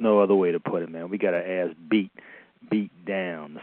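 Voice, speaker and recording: The voice has an American accent and a monotone, flat intonation. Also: man. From US East Coast. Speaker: caller. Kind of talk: phone-in message.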